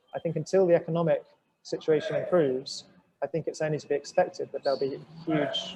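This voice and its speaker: A man with a British accent at a fairly quick pace. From southern England, home counties. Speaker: journalist. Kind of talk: webinar discussion. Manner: halting, many repetitions.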